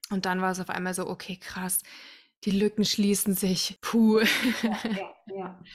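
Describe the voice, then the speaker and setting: A woman's somewhat breathy, medium-pitched voice, flat and monotone, at a fairly slow pace. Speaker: podcast host, musical singer and mother. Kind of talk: casual chat.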